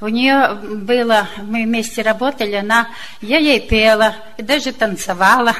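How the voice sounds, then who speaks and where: Noticeable background noise runs behind a woman's voice. Her pitch is fairly high and her intonation fairly even. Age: old. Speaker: church member. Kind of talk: testimony.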